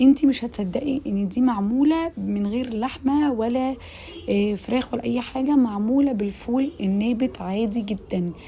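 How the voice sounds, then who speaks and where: Amid noticeable background noise, a woman with an Egyptian accent speaks in a high, animated voice at a fairly slow pace with hardly any pauses. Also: ordinary pitch variation. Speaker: cooking channel host. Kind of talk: cooking tutorial.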